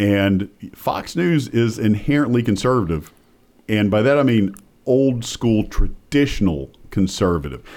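In a Southern US accent, a man speaks at a fairly low pitch and a fairly slow pace, with lively intonation and very even loudness. The recording is very clean, with a silent background. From US South. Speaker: political science professor and pollster. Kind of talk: interview. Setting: studio.

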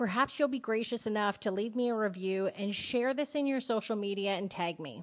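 A woman's plain, everyday voice with a Canadian accent, medium pitch, lively intonation and a moderate pace, on a very clean recording with a silent background. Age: 40s. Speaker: podcast host. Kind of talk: scripted podcast intro monologue.

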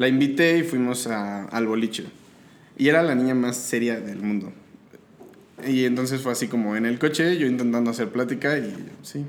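Amid audible room echo, a man of medium pitch talks at a moderate pace with ordinary pitch variation and long, frequent pauses. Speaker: podcast guest. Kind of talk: casual chat. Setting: home studio.

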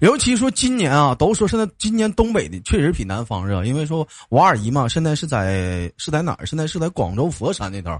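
A man speaks in an animated tone with a northeastern Chinese accent, at a fairly quick pace with hardly any pauses. His somewhat breathy voice makes very wide pitch swings against a quiet background. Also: fairly high pitch for a man. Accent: northeastern Mandarin. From Jilin, northeast China. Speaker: live-stream call-in show host. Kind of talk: casual chat with caller.

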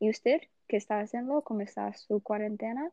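A woman's voice sits at a fairly high pitch. It carries fairly even intonation. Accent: Portuguese. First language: Portuguese (speaking Spanish). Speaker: university student. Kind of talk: casual chat. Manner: halting.

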